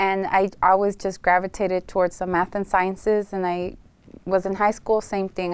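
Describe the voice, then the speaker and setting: In a very clean recording with a silent background, a woman with a Spanish accent talks at medium pitch and a moderate pace with monotone, flat intonation. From Los Angeles, US, partly raised in Tijuana, Mexico. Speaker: realtor and former aerospace engineer. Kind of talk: interview.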